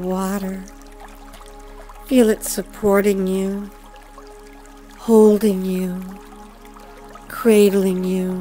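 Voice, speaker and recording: A woman speaks at a very slow pace, with long, frequent pauses and big swings in loudness. Her intonation is fairly even, and music plays in the background. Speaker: hypnotist. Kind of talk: hypnosis induction. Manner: slow, soft-spoken.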